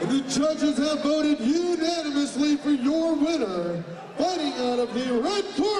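Noticeable background noise runs through the clip. The speech moves at a moderate pace. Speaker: ring announcer. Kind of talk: live fight-night ring announcing of fighter introductions and results. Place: hall.

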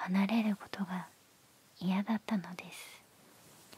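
A soft-spoken woman talks at a very slow pace in a flat monotone. The sound is dry with no echo. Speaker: ASMR storyteller. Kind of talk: bedtime story reading. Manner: soft, hushed bedtime-story voice. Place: home room. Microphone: handheld.

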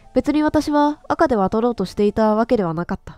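A woman at a moderate pace with very wide pitch swings, dry, close sound with no echo, and music in the background. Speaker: game streamer. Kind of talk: horror game commentary with story reading.

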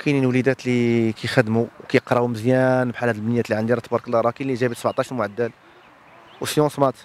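The man talks at a very fast pace in a monotone, flat delivery, with a dry sound and no echo. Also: medium pitch for a man. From Morocco. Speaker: high school handball coach and teacher; school handball team coach. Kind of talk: interview. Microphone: handheld.

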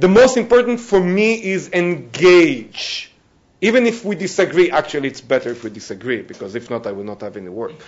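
The voice is a man's, with a high pitch. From Israel. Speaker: negotiator; panelist. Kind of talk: panel talk. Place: classroom. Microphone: lapel.

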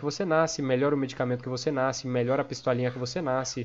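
He speaks at a very fast pace. The man has a Brazilian accent. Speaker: gaming youtuber and game server owner. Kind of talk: tutorial. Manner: casual, filler-heavy.

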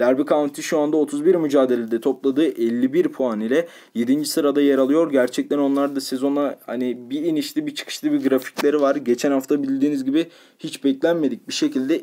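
A fairly high-pitched male voice with a dark, mellow tone. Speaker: football betting tipster. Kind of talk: sports betting analysis monologue. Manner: frequent filler hesitations.

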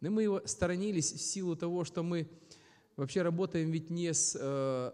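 A man's dark, mellow voice at a moderate pace, ordinary pitch variation, quiet background. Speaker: speaker. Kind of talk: lecture. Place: hall. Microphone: studio mic.

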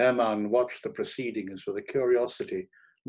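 Someone reads plainly aloud. Nothing stirs in the background.

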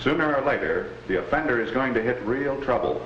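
In a stern tone and at a fairly quick pace, a man speaks with audible room echo and light background noise. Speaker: traffic police officer. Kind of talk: vintage educational film, testimony in court. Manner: stern, matter-of-fact, formal. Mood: serious, measured. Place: office. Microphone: old recording.

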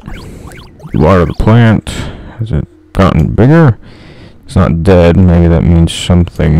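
A man's very deep, low voice with lively intonation, at a fairly slow pace with long, frequent pauses, against noticeable background noise. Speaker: gaming YouTuber. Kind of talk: gameplay commentary, reading the game's second-person horror narration aloud. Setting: solo gameplay recording. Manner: casual, self-mocking.

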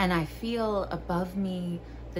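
A woman speaks at a very slow pace. Background noise is noticeable. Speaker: video creator and poetry reader. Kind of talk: poem reading, calm and warm, framed by casual joking chat. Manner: slow, gentle, sincere reading; casual, chatty, self-deprecating, joking. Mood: calm, soft, playful asides. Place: home room. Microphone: phone near.

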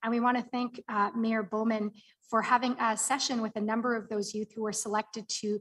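A woman's fairly high, somewhat breathy voice at a fairly quick pace, monotone and flat, over a quiet background. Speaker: city community development staff; presenter. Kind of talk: report presentation. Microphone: video call.

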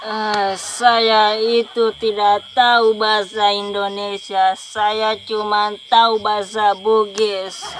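A woman mumbles at a very slow pace in a monotone, flat intonation. Light background noise sits behind her. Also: dry sound with no echo. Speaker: comedy skit actor. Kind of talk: comic skit dialogue. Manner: drowsy drunk mumble. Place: open country. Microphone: phone near.

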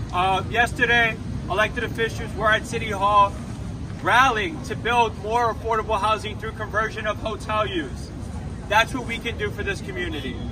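Over noticeable background noise, a man with a high pitch speaks at a moderate pace with fairly even intonation. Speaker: city council member. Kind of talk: rally speech. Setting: outdoor rally. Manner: earnest, emphatic; declarative, rallying the crowd. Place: street. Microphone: camera far.

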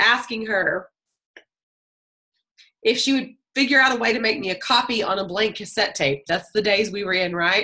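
Against a quiet background, a woman talks in a bright, sharp tone with ordinary pitch variation. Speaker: group call host. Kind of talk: personal storytelling to a group. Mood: warm, animated storytelling. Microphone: video call.

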